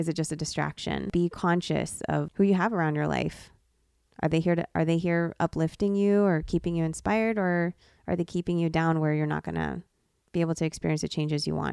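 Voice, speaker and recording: A woman's fairly low, monotone voice with flat intonation at a fairly quick pace, in a very clean recording with a silent background and a dry, close sound with no echo. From US, born in the Philippines. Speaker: podcast co-host and nurse. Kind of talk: casual chat.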